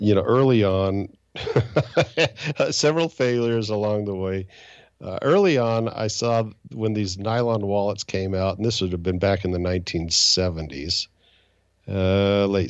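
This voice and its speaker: A man with a fairly low pitch and ordinary pitch variation speaks at a moderate pace, leaving long, frequent pauses. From Utah and Indiana, US. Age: 60s. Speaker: angel investor and financial advisor. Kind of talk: interview. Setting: podcast.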